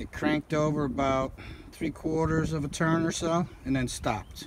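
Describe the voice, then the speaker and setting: A man speaks in a dry sound with no echo. Noticeable background noise sits behind him. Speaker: car seller. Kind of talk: casual walkaround commentary. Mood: matter-of-fact. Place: open country. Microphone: phone near.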